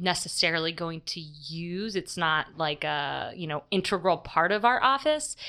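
In a very clean recording with a silent background, a normal speaking voice moves at a moderate pace with lively intonation. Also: woman. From upstate New York. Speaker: diocesan youth ministry director. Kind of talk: interview. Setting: studio.

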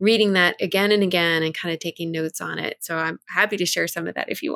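A plain, everyday voice with an American accent and fairly even intonation. The sound is dry and close with no echo, on a very clean recording with a silent background. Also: woman. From US South, near New Orleans. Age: 50s. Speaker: lay minister. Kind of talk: casual chat.

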